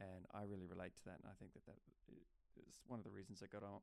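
Someone with an Australian accent talks at a fairly quick pace. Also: man. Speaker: podcast host. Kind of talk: casual chat.

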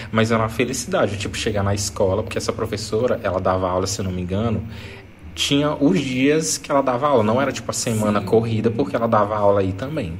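Audible room echo and noticeable background noise surround a man talking at a very fast pace. His pitch is fairly low, with ordinary variation. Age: 30s. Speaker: podcast host. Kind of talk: casual chat.

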